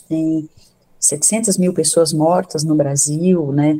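A woman speaks in a fairly low voice with a dark, mellow tone. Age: 60s. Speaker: psychiatrist and professor. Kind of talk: radio interview. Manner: halting, many fillers.

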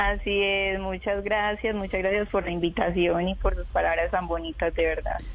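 A woman speaks with hardly any pauses and very even loudness while music plays in the background. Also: moderate pace. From Colombia, Urabá region of Antioquia. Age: 20s. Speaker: tram driver and model. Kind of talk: interview.

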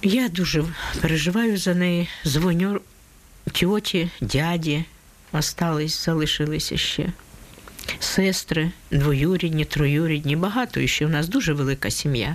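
There is noticeable background noise as a woman with a fairly low voice speaks fairly slowly with ordinary pitch variation. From Ukraine, Donetsk. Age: 70s. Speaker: war refugee. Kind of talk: testimony.

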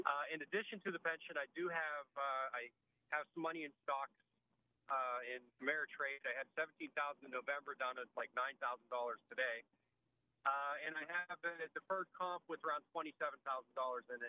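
A man has a plain, everyday voice, fairly high in pitch with fairly even intonation. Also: fairly quick pace. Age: 50s. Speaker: caller. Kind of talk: call-in question. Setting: phone call.

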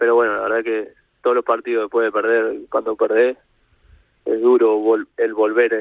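His medium-pitched voice stays monotone, with flat intonation throughout. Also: moderate pace. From Uruguay, Montevideo. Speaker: professional footballer. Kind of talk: radio interview. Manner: halting, many repetitions.

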